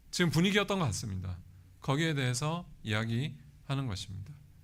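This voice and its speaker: Very wide pitch swings with audible room echo. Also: man. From South Korea, Pohang (Gyeongsang). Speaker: guest preacher, seminary professor. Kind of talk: sermon. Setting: church.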